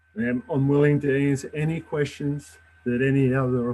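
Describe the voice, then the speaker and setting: With an Australian accent, a man talks at a fairly quick pace and medium pitch, using ordinary pitch variation over noticeable background noise. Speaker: judicial job applicant, air force veteran. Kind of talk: job interview. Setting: public meeting, live stream. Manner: formal.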